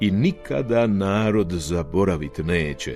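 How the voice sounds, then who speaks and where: With music in the background, a man speaks in a very deep, low voice with a solemn tone and lively intonation at a very slow pace. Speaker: television announcer. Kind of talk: poetry reading. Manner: solemn, measured.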